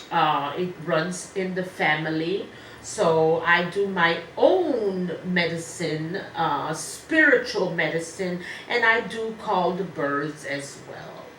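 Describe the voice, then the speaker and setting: A woman with a strong French accent speaks at a very slow pace, with a fairly low pitch, ordinary pitch variation, and big swings in loudness. Noticeable background noise and audible room echo are present. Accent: heavy French. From Ivory Coast. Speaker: medium and musician. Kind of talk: interview.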